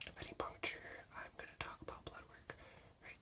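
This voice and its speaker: Noticeable background noise fills the recording. Through it, a man whispers. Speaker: veterinary assistant student. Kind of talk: ASMR study-with-me teaching. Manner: soft-spoken.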